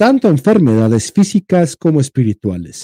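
This man's dark, mellow tone sits at a fairly high pitch, recorded dry and close with no echo. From Mexico, Jalisco. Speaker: podcast co-host. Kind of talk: reading aloud; casual chat. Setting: livestream.

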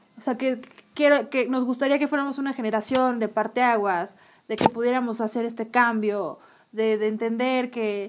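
A woman's high voice with a Mexican accent, fairly even intonation and a moderate pace. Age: 30s. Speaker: podcast co-host. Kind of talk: casual chat.

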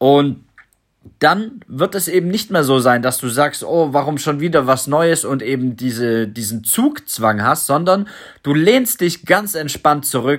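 Set against a silent background in a very clean recording, a man talks in an ordinary speaking voice at a fairly high pitch. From Germany, Stuttgart. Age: 30s. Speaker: crypto podcaster. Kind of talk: solo podcast monologue.

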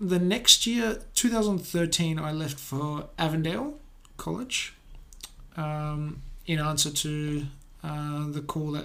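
In a room with audible echo, a man with an Australian accent and a fairly high pitch speaks at a very slow pace with long, frequent pauses, a bright, sharp tone and ordinary pitch variation. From Australia, Adelaide. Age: 20s. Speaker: pastor. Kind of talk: testimony.

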